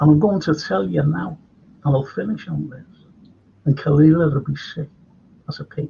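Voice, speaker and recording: A man in a Liverpool accent, with big swings in loudness and long, frequent pauses. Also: fairly high pitch for a man, lively intonation, moderate pace. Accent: Scouse. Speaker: historian and chat show host. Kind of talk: casual chat. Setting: live stream. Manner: animated.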